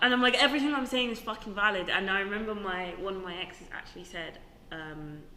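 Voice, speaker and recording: A woman at a very fast pace, her medium-pitched voice animated, with lively intonation and big swings in loudness, amid noticeable background noise and audible room echo. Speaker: podcast co-host. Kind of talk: casual chat.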